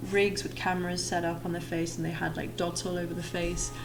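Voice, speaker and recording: A woman's fairly low voice with audible room echo and noticeable background noise. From Yorkshire, northern England. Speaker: 3D artist and streamer. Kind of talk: tutorial livestream. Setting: live stream. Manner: slow, relaxed.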